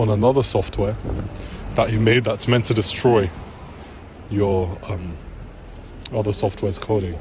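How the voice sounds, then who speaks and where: Fairly low male pitch amid noticeable background noise. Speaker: vlogger. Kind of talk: personal vlog rant. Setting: in public. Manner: hushed, low voice; hesitant, filler-heavy. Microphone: bad mic quality.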